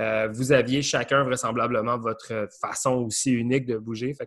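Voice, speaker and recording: A man talks at a fairly slow pace in a monotone, flat intonation, his pitch medium, against a quiet background. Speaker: podcast host, breakdancer. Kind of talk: casual chat.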